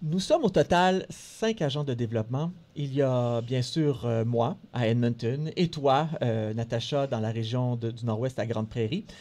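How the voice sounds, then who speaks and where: With a dark, mellow tone and a medium pitch, a man speaks at a fairly slow pace with ordinary pitch variation and hardly any pauses. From Montreal, Quebec. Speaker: radio co-host, health network development officer. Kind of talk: scripted radio show presentation. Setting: radio studio.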